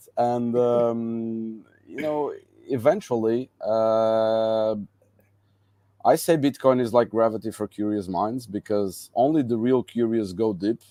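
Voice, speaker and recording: With a Portuguese accent, a man speaks at a very slow pace in a medium pitch, his dark, mellow tone carrying fairly even intonation on a very clean recording with a silent background. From Madeira, Portugal. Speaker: entrepreneur and conference organizer. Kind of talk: interview conversation. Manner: halting, many fillers.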